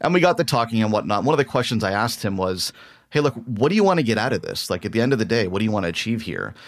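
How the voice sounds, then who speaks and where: Talking at a very fast pace, a man uses medium pitch and lively intonation. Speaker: podcast host. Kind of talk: interview.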